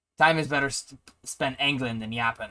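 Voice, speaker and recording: A man talks in a put-on character voice at a medium pitch. His pace is moderate. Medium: actual play. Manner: impatient, brusque.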